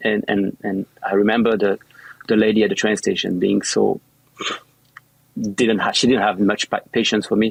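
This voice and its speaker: With a French accent, a man with a fairly low pitch speaks at a moderate pace in a monotone, flat intonation and very even loudness, taking long, frequent pauses, with a dry, close sound and no echo. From central France. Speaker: yacht chef. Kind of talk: interview. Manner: halting, many repetitions.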